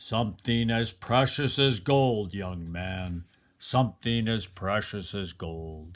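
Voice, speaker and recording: A man does a booming, put-on character voice at fairly low pitch. He goes at a fairly slow pace on a very clean recording with a silent background. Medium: read story.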